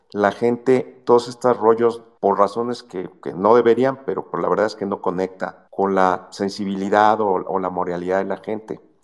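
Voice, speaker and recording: Speaking in a normal speaking voice, a man keeps a fairly low pitch, fairly even intonation and a moderate pace with hardly any pauses. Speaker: economist. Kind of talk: call-in commentary.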